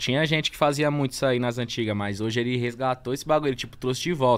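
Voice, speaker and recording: Barely pausing, a man talks at a very fast pace with ordinary pitch variation. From São Paulo, Brazil. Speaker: freestyle battle rapper; podcast guest, battle rap MC. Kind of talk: casual chat. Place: studio. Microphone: studio mic.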